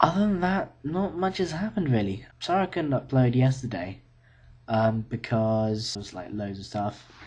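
A man with a British accent at a moderate pace. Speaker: university student vlogger. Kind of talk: casual video diary. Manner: hesitant, many fillers. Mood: relaxed, slightly tired. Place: home room. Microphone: webcam.

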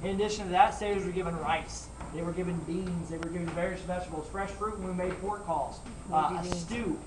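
Over noticeable background noise, a man talks at a fairly quick pace in a high voice. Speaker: costumed ship tour guide. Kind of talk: tour guide talk. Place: boat. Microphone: camera far.

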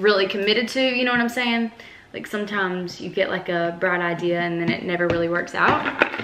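A woman talks at a fairly quick pace with ordinary pitch variation. There is noticeable background noise. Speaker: vlogger. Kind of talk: casual vlog chat. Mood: relaxed and upbeat. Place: kitchen. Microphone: phone near.

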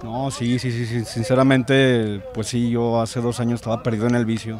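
Dry and without echo, a man's flat, monotone delivery sits over light background noise. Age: 20s. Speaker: passion play actor. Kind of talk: casual interview. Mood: earnest, grateful. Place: street. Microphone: handheld.

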